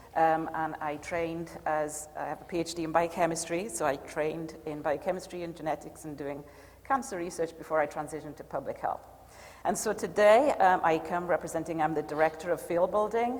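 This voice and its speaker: Speaking with a Welsh accent, a woman uses a fairly low pitch. She talks at a fairly quick pace with ordinary pitch variation. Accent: British, Welsh. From rural Wales. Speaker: public health expert. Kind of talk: panel talk to audience. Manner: hesitant, many fillers.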